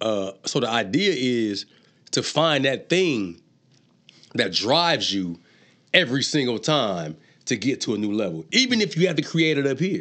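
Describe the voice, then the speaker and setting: Over a quiet background, a man with an American accent speaks at a moderate pace and medium pitch in a bright, sharp tone with vocal fry, very wide pitch swings, and long, frequent pauses. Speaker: artist and entrepreneur, former inmate. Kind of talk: casual interview conversation. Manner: laid-back, joking.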